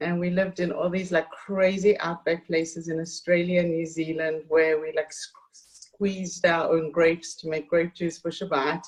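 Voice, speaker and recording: A woman with a South African accent, fairly low in pitch, flat and monotone at a moderate pace with hardly any pauses, over noticeable background noise. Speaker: author and community hostess. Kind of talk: interview conversation.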